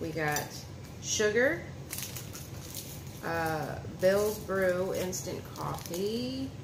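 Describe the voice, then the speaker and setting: Noticeable background noise sits behind a woman who talks with ordinary pitch variation. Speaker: vlogger. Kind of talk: casual vlog chat. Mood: relaxed, a bit apologetic. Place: home room. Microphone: phone near.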